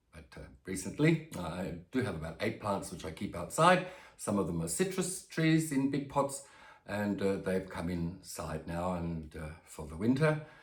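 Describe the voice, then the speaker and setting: In an Australian accent, a man talks at a moderate pace with fairly low pitch and very wide pitch swings, sounding somewhat breathy. His loudness rises and falls sharply, and the room echo is audible. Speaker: plant youtuber. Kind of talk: casual vlog. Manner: hesitant, many fillers.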